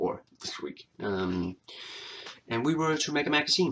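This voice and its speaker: The man speaking has a bright, sharp tone and a non-native accent. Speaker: vlogger. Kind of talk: casual talk to camera. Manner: hesitant, many filler words.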